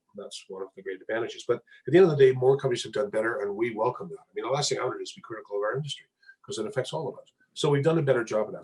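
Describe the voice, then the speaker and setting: Breathing somewhat audibly, a man races along at a very fast pace in a fairly high pitch with lively intonation. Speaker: mining company executive. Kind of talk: interview.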